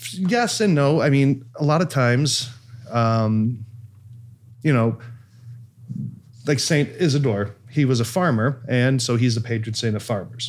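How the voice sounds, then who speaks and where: A man at a fairly slow pace, with long, frequent pauses, ordinary pitch variation and very even loudness. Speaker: priest podcast host. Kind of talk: podcast explanation. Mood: light, joking then explaining. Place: studio. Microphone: studio mic.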